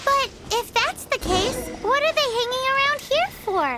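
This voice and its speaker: A put-on character voice sounds squeaky, its pitch pushed extremely high. The delivery goes at a moderate speed. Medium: video game.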